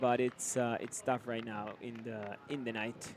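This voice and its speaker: The man's voice is medium in pitch, delivered with monotone, flat intonation. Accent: Spanish. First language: Spanish. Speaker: sports commentator. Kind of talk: live commentary. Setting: studio. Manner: halting, many fillers.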